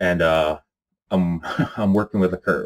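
Very deep and low, this man's voice moves at a moderate pace. He keeps a steady run of speech with no hurry. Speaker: occult-topics YouTuber. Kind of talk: casual vlog talk to camera. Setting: home recording in apartment. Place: home room.

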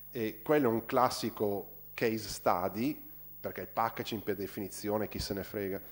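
A man's plain, everyday voice, fairly low in pitch with fairly even intonation, at a moderate pace on a very clean recording with a silent background. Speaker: designer. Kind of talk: Q&A after a university talk. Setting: university lecture hall.

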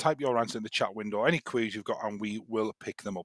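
A male speaker in a quiet background. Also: dry sound with no echo. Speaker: guest. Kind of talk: tutorial. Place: home room. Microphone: headset.

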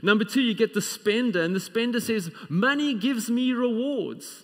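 Nothing much can be heard behind the voice. It belongs to a man. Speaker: preacher. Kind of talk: sermon. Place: church.

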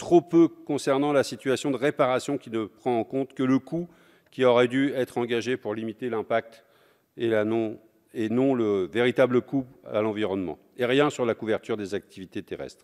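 Against a quiet background, a man talks at a moderate pace. His pitch varies in an ordinary way. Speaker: communist member of parliament. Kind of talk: parliamentary speech in the National Assembly, formal oratory delivered from the rostrum. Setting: National Assembly chamber. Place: hall. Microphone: podium.

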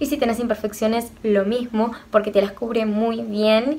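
Fairly high-pitched woman's speech, moderately paced. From Argentina. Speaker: beauty youtuber. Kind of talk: makeup tutorial review. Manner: animated. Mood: cheerful, enthusiastic. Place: home room. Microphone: phone near.

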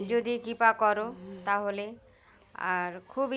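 The recording is very clean with a silent background as a woman speaks at a fairly high pitch. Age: 40s. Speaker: vlogger. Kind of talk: casual monologue to viewers.

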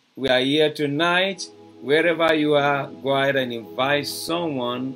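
A man speaks over clear music in the background. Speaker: preacher hosting a broadcast. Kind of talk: sermon. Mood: warm, enthusiastic. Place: home room.

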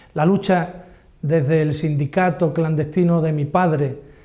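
A man with an Andalusian accent speaks in a dark, mellow tone at a fairly high pitch. His intonation stays fairly even. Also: quiet background. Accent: Andalusian, with ceceo. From Cádiz, Andalusia, Spain. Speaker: journalist. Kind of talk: personal spoken testimony. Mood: heartfelt, proud, nostalgic. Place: studio. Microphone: lapel.

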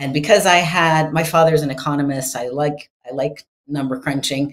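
Against a quiet background, a woman with a Canadian accent speaks at a fairly quick pace. Her pitch is very deep and low, her intonation fairly even. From Canada (British Columbia). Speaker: author and entrepreneur. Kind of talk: podcast interview. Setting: video call. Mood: warm, cheerful. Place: home room. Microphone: studio mic.

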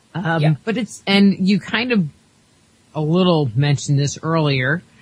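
A somewhat breathy woman with an American accent. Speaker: radio host. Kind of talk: interview. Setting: studio.

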